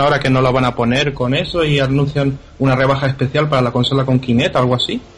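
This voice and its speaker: A man's medium-pitched voice holds fairly even intonation against noticeable background noise. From Canary Islands. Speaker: video game podcast panelist. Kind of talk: casual panel discussion.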